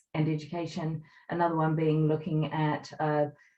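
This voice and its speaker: A woman's very deep, low voice. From New Zealand. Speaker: workplace wellbeing consultant. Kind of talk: webinar presentation. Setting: online webinar.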